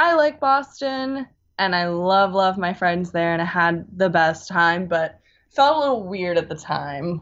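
An ordinary speaking voice from a woman with an American accent, medium in pitch, fairly slow in pace, with lively intonation. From US West Coast, California Bay Area. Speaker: music enthusiast, former college radio host. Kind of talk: casual chat. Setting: video call.

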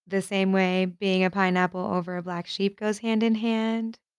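A woman with an American accent speaks at a medium pitch and moderate pace in a flat monotone, in a very clean, dry, close recording with a silent background and no echo. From New York and New Jersey. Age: 20s. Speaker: podcaster. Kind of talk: casual monologue.

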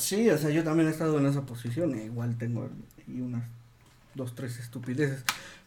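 A man speaks with a Mexican accent and fairly even intonation. Audible room echo surrounds his voice. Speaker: podcast co-host, health worker. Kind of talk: casual chat.

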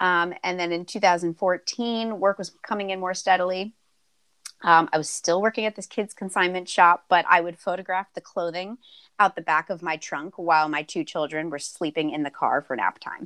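A woman with an unremarkable speaking voice talks at medium pitch and a moderate pace with ordinary pitch variation over a quiet background. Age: 30s. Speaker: photographer and business owner. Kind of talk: casual chat.

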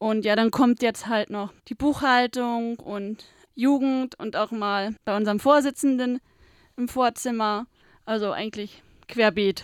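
The sound is dry and close, with no echo. It is an ordinary speaking voice with fairly even intonation. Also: woman, fairly high pitch for a woman. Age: 20s. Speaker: trainee office clerk, visually impaired. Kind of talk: interview. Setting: studio.

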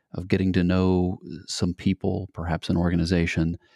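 A man with a very deep, low pitch, a dark, mellow and calm tone, monotone, flat intonation and a moderate pace, in a dry, close sound with no echo on a very clean recording with a silent background. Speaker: adventure show host and founder. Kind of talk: interview.

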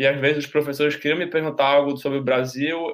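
A man at a very fast pace, fairly high in pitch, with monotone, flat intonation. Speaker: university student. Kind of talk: casual chat, storytelling.

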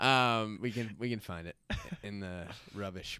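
This man has a bright, sharp tone and an American accent, and he sounds animated. The sound is dry and close, with no echo. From Florida, US South. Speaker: window cleaning business owner and podcaster. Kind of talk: casual chat.

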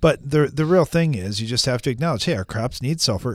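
Over a silent background in a very clean recording, a man with an unremarkable speaking voice talks at a fairly high pitch with lively intonation. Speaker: agronomy radio host and farmer. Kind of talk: radio talk show. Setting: studio.

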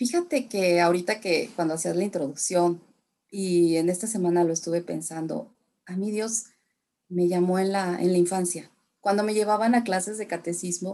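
A woman speaks at a moderate pace with a medium pitch and ordinary pitch variation. Her tone is dark and mellow. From Mexico, San Luis Potosí (raised from age two; born in Tamaulipas). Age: 40s. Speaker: religion and English teacher. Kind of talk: interview testimony.

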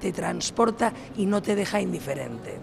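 A man with a high-pitched voice is heard through noticeable background noise. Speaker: tourism promotion official. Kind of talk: radio interview. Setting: trade fair. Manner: halting.

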